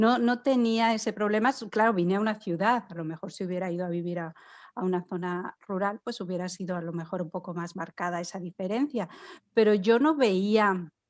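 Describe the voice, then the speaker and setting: On a very clean recording with a silent background, a woman speaks at a medium pitch. She keeps a fairly quick pace with ordinary pitch variation. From Spain. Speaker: immigrant podcast guest. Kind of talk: casual chat. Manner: halting, many false starts.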